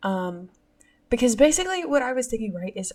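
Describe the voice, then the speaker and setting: The woman's voice is somewhat breathy. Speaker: podcast host. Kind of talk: casual monologue. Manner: hesitant with many fillers.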